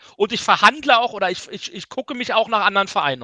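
A man's raised, projected voice, high-pitched, bright and sharp in tone, with ordinary pitch variation and a dry, close sound with no echo. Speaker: football talk panelist. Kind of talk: casual chat.

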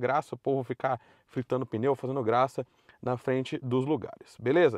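Against a quiet background, a man speaks at a moderate pace. The sound is dry, with no echo. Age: 30s. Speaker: car YouTuber. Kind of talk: commentary video monologue. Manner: casual, conversational. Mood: opinionated, mildly critical. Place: car. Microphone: phone near.

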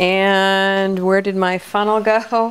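Against faint background noise, a woman speaks at a medium pitch.

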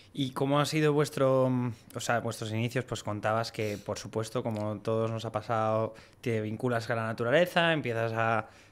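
A man with a Spanish accent speaks at a medium pitch with fairly even intonation. He hardly pauses at all. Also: moderate pace. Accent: Peninsular Spanish. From Spain. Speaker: podcast host. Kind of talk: casual interview. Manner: casual, filler-heavy. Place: studio. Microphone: studio mic.

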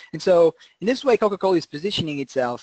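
A man speaks at a fairly quick pace with a high pitch and lively intonation. The sound is dry and close, with no echo. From Portugal, Lisbon. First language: Portuguese. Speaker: conservation scientist. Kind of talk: webinar lecture. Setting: online webinar.

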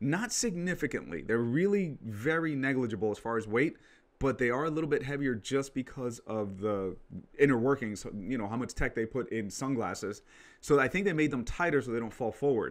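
Lively in intonation, a man talks at a fairly quick pace. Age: 30s. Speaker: tech product reviewer. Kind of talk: product review vlog. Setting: home studio. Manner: casual with frequent fillers. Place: home room. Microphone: studio mic.

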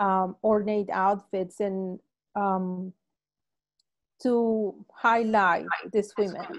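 A woman with a Spanish accent speaks at a very slow pace with fairly even intonation over a quiet background. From Colombia, Palmira; Colombia. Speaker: painter. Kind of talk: panel conversation. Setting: video call. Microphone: video call.

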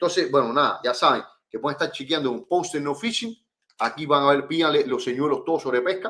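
At a fairly quick pace, the speaker sounds animated, with ordinary pitch variation. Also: man. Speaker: fishing channel host. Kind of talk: live stream chat. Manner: fast. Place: home room.

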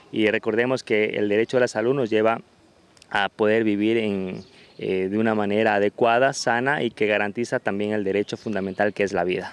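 A man speaks at a fairly quick pace in a plain, everyday voice with fairly low pitch, fairly even intonation and very even loudness. The sound is dry with no echo. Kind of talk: interview answer. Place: street. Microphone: handheld.

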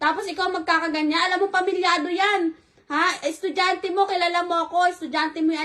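A woman projects her voice at an extremely high pitch, speaking at a very fast pace with a bright, sharp tone and a monotone, flat intonation. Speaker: betrayed spouse confronting. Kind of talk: heated argument, angry confrontation. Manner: shouting, furious, accusatory; fast, harsh, repeated scolding.

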